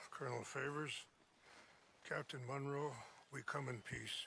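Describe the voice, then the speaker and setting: Using a put-on character voice with a medium pitch, a man talks in a calm, monotone, flat way at a moderate pace against clear background noise. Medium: video game. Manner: calm, dignified.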